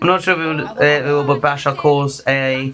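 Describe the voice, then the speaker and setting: With music in the background, a man speaks in a British accent. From Britain. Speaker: Eurovision livestream host. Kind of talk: live watchalong chat. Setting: livestream. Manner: quieter than usual.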